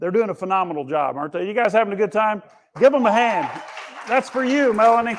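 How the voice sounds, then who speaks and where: Over crowd noise in the background, a loud, animated voice races along at a very fast pace. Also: man, high pitch for a man, lively intonation. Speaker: conference speaker. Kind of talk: keynote talk. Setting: stage with audience.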